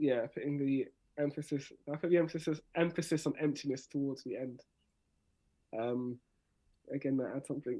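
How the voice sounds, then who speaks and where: This man speaks with a South London accent, a fairly high pitch and a dark, mellow tone. His intonation is fairly even, broken by long, frequent pauses. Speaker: spoken word artist. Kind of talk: workshop tutorial. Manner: fast talker.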